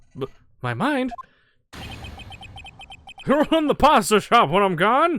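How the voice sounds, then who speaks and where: Putting on a gruff character voice at an extremely high pitch, a man talks at a fairly slow pace with very wide pitch swings and long, frequent pauses. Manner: crazy, gruff.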